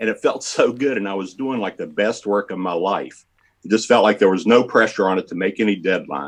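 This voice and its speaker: At a fairly quick pace, a man with a fairly low pitch speaks with ordinary pitch variation. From West Virginia. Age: 60s. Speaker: comic book artist. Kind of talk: interview. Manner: halting.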